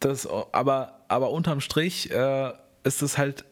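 This is a man speaking. His pitch is fairly high. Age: 20s. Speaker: video and social media creator. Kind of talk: casual chat. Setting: at his flat.

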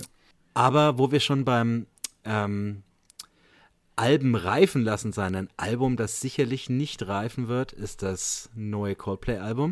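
On a very clean recording with a silent background, a man at medium pitch speaks very slowly with long, frequent pauses and ordinary pitch variation. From Franconia, Bamberg. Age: 30s. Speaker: podcast host and teacher. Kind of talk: casual chat.

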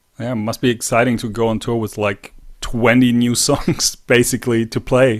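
A man at a medium pitch and moderate pace, in monotone, flat intonation. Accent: German. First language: German. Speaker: podcast host. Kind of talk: interview.

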